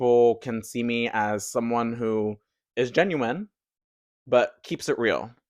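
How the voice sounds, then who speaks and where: A man with an American accent and a medium pitch speaks over a quiet background. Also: dry, close sound with no echo. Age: 20s. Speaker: podcast host. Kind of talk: casual monologue. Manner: animated.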